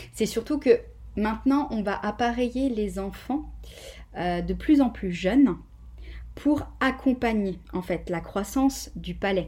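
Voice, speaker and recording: A woman speaking at a very slow pace with long, frequent pauses, on a very clean recording with a silent background. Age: 30s. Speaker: physiotherapist. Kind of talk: interview.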